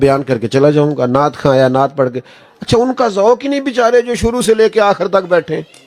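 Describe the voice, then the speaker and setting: A man's voice swings very widely in pitch. Music sounds in the background. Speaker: Islamic preacher. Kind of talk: religious sermon (bayan) at a gathering. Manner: emotional, conversational, anecdotal.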